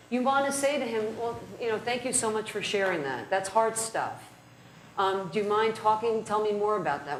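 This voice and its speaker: In a room with audible echo and noticeable background noise, a woman of medium pitch speaks at a fairly quick pace with lively intonation. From New Jersey (North Jersey). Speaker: criminal defense lawyer, trainer. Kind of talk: lecture.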